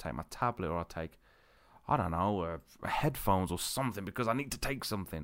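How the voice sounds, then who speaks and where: Someone with a British accent talks very fast with lively intonation on a very clean recording with a silent background. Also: man. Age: 30s. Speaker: podcast host. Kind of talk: casual monologue. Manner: rambling, hesitant with fillers.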